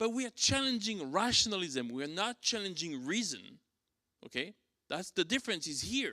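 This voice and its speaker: A man speaks in a raised, projected voice with a French accent, a high pitch and very wide pitch swings at a moderate pace. His tone is bright and sharp, and the sound is dry and close with no echo. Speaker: church teacher. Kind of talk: lecture. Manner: halting, many fillers.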